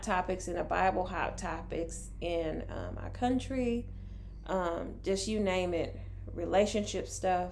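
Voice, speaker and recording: Amid noticeable background noise and audible room echo, a woman at a medium pitch speaks at a very slow pace with ordinary pitch variation. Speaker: podcast co-host. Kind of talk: casual chat.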